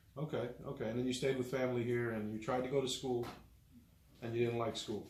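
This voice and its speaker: A man with an American accent talks at a very fast pace in a monotone, flat delivery, his pitch medium and his voice somewhat breathy. Audible echo from the room surrounds him. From Miami, Florida. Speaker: union electrician and interview host. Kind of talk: interview.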